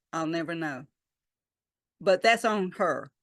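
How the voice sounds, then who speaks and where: Speaking with a Southern US accent, a woman talks at a fairly slow pace. The sound is dry and close with no echo, against a quiet background. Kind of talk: talk to a church congregation. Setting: church service.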